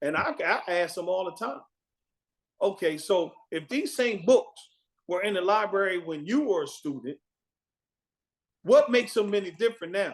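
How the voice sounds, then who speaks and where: The delivery is animated, with lively intonation. Long, frequent pauses break it up. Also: man, high pitch for a man, moderate pace. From Wilmington, Delaware. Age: 60s. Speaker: retired Air Force veteran. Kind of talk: casual chat.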